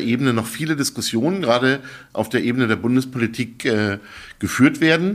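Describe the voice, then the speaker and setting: A man talks in an ordinary speaking voice at a moderate pace. His pitch sits in the middle range with ordinary variation. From Berlin, Germany. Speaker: think tank director. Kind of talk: interview conversation. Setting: studio.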